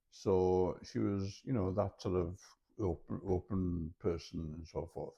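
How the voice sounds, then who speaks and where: With a Welsh accent, the speaker talks at a fairly slow pace with ordinary pitch variation. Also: man, very deep, low pitch for a man. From mid Wales (Montgomeryshire), born in London. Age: 60s. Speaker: retired journalist and university lecturer. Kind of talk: interview. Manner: halting.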